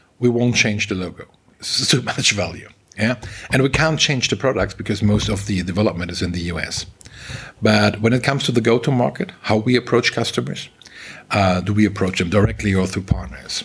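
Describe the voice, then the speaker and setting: A man's fairly low voice at a fairly quick pace with ordinary pitch variation, over noticeable background noise. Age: middle-aged. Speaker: tech company managing director. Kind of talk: interview. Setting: office.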